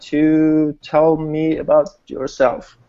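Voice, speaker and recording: At a very slow pace, a man with a Swedish accent speaks with a fairly high pitch. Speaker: network marketing host. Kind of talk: online group hangout presentation.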